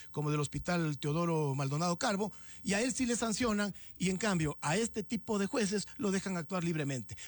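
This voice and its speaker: On a very clean recording with a silent background, a man talks at a fairly quick pace in a high pitch with lively intonation and very even loudness. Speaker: director of a police social security institute, interviewee. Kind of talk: radio interview answer. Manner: indignant, critical.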